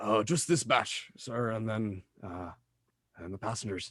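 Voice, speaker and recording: A man puts on a raspy character voice at medium pitch, speaking at a moderate pace with big swings in loudness. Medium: actual play. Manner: deferential.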